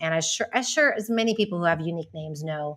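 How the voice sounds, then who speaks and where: An ordinary speaking voice with an American accent talks at a fairly quick pace with lively intonation. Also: woman. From Texas (Houston). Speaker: podcast guest, entrepreneur. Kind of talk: casual interview chat.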